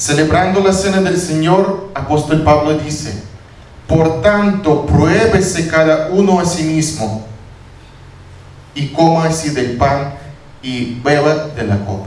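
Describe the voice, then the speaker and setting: A man with a non-native accent talks very slowly at a fairly high pitch with lively intonation and long, frequent pauses, amid noticeable background noise and audible room echo. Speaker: pastor. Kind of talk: sermon. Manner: halting.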